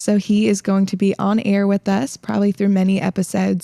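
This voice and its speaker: Recorded dry and close with no echo, a woman speaks at a moderate pace in a medium pitch with a dark, mellow tone. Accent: slight Southern US. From Illinois, then South Carolina most of life. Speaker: podcast host, fitness coach. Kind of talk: casual chat.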